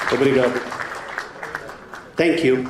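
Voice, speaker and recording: A man speaks at medium pitch with a Brazilian accent and a monotone, flat intonation. Noticeable background noise and audible room echo are present. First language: Portuguese. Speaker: animal science professor. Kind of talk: conference lecture. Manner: hesitant with fillers.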